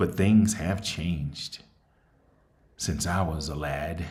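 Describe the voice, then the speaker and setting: A man's very deep, low voice with a somewhat breathy quality. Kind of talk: casual talk to camera.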